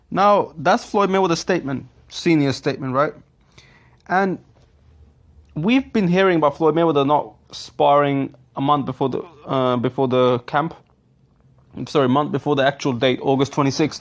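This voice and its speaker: A man with a non-native accent speaks at a moderate pace in a fairly high pitch, leaving long, frequent pauses. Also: ordinary pitch variation. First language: not English. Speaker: boxing commentary youtuber. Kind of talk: casual commentary reading out quotes. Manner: halting, self-correcting.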